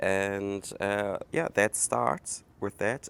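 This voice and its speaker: At a very slow pace and fairly low pitch, a man speaks with a German accent on a very clean recording with a silent background. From Germany. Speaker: podcast host. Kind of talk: casual monologue. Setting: outdoors. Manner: halting, many fillers.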